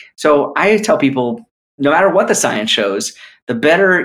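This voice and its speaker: This is a normal speaking voice with an American accent. The intonation is lively and the pace moderate. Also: man. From New York. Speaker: cardiologist. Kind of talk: interview on podcast.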